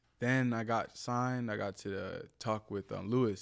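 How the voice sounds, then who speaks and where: In a very clean recording with a silent background, a man with an American accent speaks in a monotone, flat intonation. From New Jersey, US (Willingboro). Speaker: content creator and former model. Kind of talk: podcast interview. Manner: casual.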